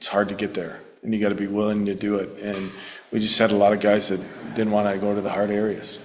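Audible room echo surrounds a man whose pitch is fairly low.

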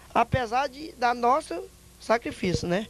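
A man's extremely high voice with ordinary pitch variation, the sound dry with no echo. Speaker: interviewee. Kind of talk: interview answer. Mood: complaining, appealing for repairs. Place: street. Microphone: handheld.

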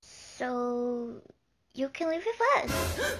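A cartoonish character voice, female-sounding and high in pitch for a woman. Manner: gentle, kind.

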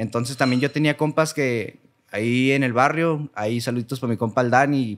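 A man at a moderate pace with fairly even intonation over a quiet background. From Cuauhtémoc, Chihuahua, northern Mexico; Chihuahua, Mexico. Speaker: singer; guest. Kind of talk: casual chat. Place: studio. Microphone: studio mic.

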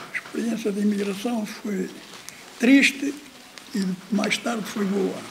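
A man's high-pitched voice at a fairly slow pace, with fairly even intonation, long, frequent pauses and light background noise. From Portugal. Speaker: former emigrant. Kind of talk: testimony. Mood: warm, smiling storytelling. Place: home room.

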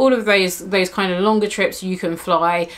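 A woman's fairly low, fairly bright voice at a moderate pace, with fairly even intonation.

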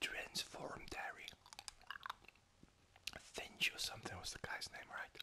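The speaker is whispering. The pace is fairly slow. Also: man. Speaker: gamer. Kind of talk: ASMR gaming commentary. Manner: whispered, soft-spoken.

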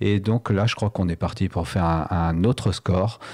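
On a very clean recording with a silent background, a man's very deep, low voice carries a dark, mellow tone. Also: dry, close sound with no echo. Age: 60s. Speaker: local politician, municipal candidate. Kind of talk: radio interview.

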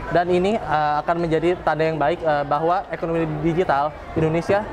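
Over crowd noise in the background, a man talks very fast at a fairly high pitch in a flat monotone. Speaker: university student. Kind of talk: competition speech. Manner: halting, many fillers.

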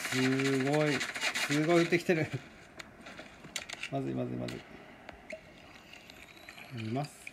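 Over noticeable background noise, a man speaks at a fairly slow pace in a medium pitch with fairly even intonation and long, frequent pauses. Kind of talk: casual game commentary.

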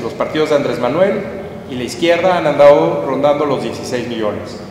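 There is audible room echo and light background noise as a man speaks at a fairly high pitch. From Mexico. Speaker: political analyst. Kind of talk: public talk. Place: hall.

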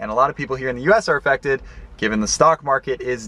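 The pace is very fast. The speaker is a man. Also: dry sound with no echo. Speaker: investing vlogger. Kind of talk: casual vlog chat. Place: car. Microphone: phone near.

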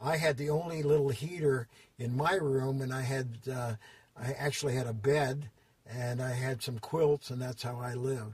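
An American accent marks this man's somewhat breathy voice, which has a medium pitch and a moderate pace. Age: 80s+. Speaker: fitness industry designer and consultant. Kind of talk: interview answer, storytelling. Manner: hesitant, many fillers.

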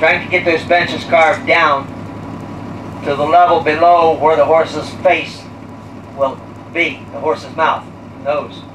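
Against noticeable background noise, a man talks at a moderate pace with fairly even intonation. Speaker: tour guide. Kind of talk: guided tour commentary. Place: bus.

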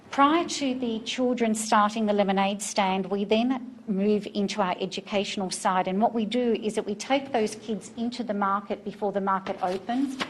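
A woman with an Australian accent speaks with hardly any pauses. Her pitch is fairly high and her intonation fairly even. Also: moderate pace. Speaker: farmers market organizer. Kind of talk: presentation to city council. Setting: city council meeting.

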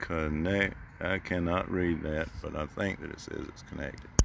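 The sound is dry with no echo, but noticeable background noise is present. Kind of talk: casual vlog chat. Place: open country.

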